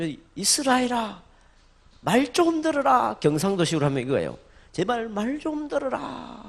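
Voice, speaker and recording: A man's high voice with very wide pitch swings, at a fairly slow pace. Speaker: pastor. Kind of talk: sermon. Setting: church with congregation. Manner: call-and-response, leading congregation in repeating words.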